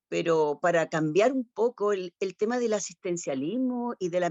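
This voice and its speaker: A woman with a Chilean accent speaks at a moderate pace and medium pitch. Her intonation is lively. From Chile, Concepción. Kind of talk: panel discussion. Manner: halting.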